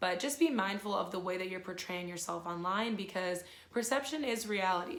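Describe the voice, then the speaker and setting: Audible room echo fills the recording. A woman speaks at a fairly quick pace. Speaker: youtuber. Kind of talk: casual chat. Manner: chatty.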